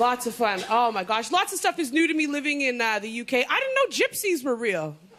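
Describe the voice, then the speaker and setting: A woman's high, animated voice at a fairly quick pace, with very wide pitch swings over noticeable background noise. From Canada, Toronto. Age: 30s. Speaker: comedian. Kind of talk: stand-up. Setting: stage with audience.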